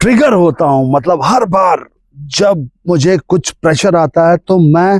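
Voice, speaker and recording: A man's dark, mellow tone with ordinary pitch variation, dry and close with no echo. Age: 40s. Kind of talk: casual spiritual talk to camera.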